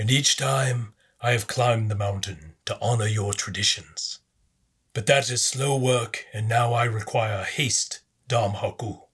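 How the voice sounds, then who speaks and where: A man puts on a raspy character voice at medium pitch, speaking at a fairly slow pace. The recording is very clean, with a silent background. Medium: read story. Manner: assured, commanding.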